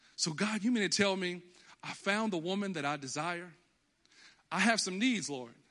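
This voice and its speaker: An American man with a high pitch and a bright, sharp tone projects a raised voice at a moderate pace, his intonation lively and broken by long, frequent pauses. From Texas. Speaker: pastor. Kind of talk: sermon. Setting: church. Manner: animated.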